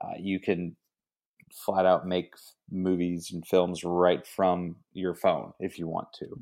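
A man with an American accent speaks at a very slow pace. His very deep, low voice stays monotone and flat. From Texas, Kerrville. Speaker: mentor and creative. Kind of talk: casual chat.

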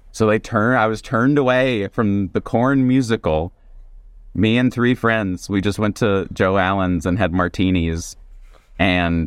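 In a normal speaking voice with an American accent, a man talks at a fairly slow pace and a fairly low pitch, with ordinary pitch variation and very even loudness. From US South. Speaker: stand-up comedian and author. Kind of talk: casual chat.

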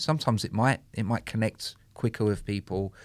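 Recorded very cleanly against a silent background, a man speaks at a moderate pace with a London accent. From London, Soho. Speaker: DJ and music producer. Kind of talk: casual chat.

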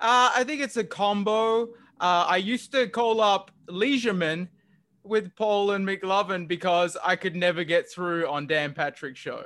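Speaking fairly slowly in a high, bright, sharp voice, a man is heard on a very clean recording with a silent background. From Australia. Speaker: caller, longtime fan. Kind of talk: casual chat.

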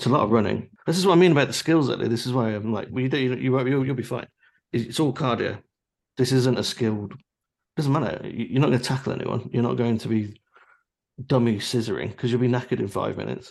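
Vocal fry marks this man's voice. He delivers his words at a very fast pace. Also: medium pitch for a man, ordinary pitch variation. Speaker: podcast host. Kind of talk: casual chat. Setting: video call. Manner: laid-back, joking.

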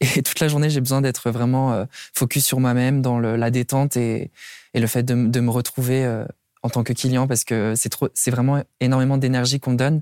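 A man's dark, mellow voice at medium pitch, monotone and flat, at a moderate pace and very even loudness, with a dry, close sound with no echo on a very clean recording with a silent background. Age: 20s. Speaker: cabaret performer. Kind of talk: interview testimony. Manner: halting.

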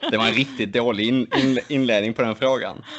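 This man speaks at a moderate pace with a medium pitch. He has a normal speaking voice. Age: 20s. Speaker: podcast co-host, archer. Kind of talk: casual chat.

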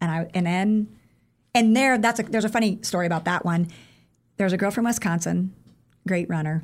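Speaking with a Midwestern US accent, a woman at medium pitch moves at a fairly quick pace with long, frequent pauses, very even loudness and ordinary pitch variation, on a very clean recording with a silent background. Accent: US Midwest. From Iowa. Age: 40s. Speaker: running coach. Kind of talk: interview.

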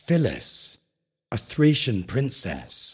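The speech moves at a very slow pace. The voice is somewhat breathy. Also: man. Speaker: sleep podcast narrator. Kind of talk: bedtime story. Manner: slow, soothing and hushed, with calm, gentle pacing; formal, poetic and dreamy.

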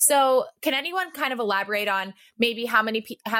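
Bright and sharp in tone, a woman speaks at a fairly high pitch. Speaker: podcast host. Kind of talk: casual panel discussion.

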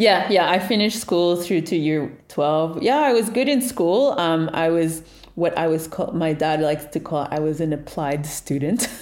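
A woman talks with lively intonation and a fairly low pitch, leaving hardly any pauses. Audible room echo surrounds her voice. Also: moderate pace. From Montreal, Quebec, Canada. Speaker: tech business founder. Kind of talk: interview.

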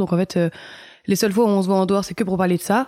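A woman's dark, mellow tone sits at a medium pitch with fairly even intonation, recorded with a dry, close sound and no echo. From France, Nice. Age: 20s. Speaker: start-up employee. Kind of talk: interview testimony. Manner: casual, hesitant with fillers.

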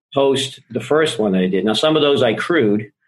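Talking at a fairly quick pace with lively intonation, a man with an American accent uses an unremarkable speaking voice. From Boston. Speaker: life and business coach. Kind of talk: podcast interview.

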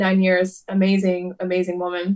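The speaker has an American accent and a moderate pace. The intonation stays flat and monotone. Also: woman. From US Midwest, Detroit area, Michigan. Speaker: pop singer-songwriter. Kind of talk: casual interview.

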